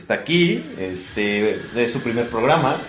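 In a Mexican accent, a man talks at a fairly slow pace with an animated tone and lively intonation, with audible room echo and noticeable background noise. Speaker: podcast co-host. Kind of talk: casual chat.

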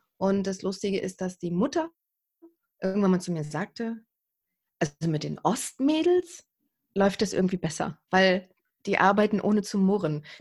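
Somewhat breathy and at a medium pitch, a woman speaks at a moderate pace with ordinary pitch variation and long, frequent pauses. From East Germany. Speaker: TV and radio presenter, camera coach. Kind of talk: interview. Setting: remote recording.

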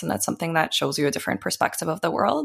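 With a Canadian accent, a woman talks at a very fast pace in a very deep, low voice that has vocal fry and ordinary pitch variation. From Ukraine, then Canada from age eight. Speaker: community organizer and businesswoman. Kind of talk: interview.

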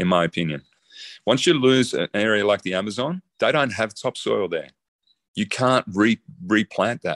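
Against a quiet background, a man with an Australian accent and medium pitch talks at a moderate pace with lively intonation, the sound dry and close with no echo. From Australia (emigrated from the Netherlands at nine). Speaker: designer and zero-waste builder. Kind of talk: interview conversation.

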